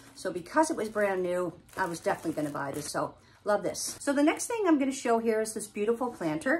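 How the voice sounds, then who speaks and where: With light background noise, a woman speaks in very wide pitch swings. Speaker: haul vlogger. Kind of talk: casual vlog chat. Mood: cheerful, enthusiastic. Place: home room. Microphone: phone near.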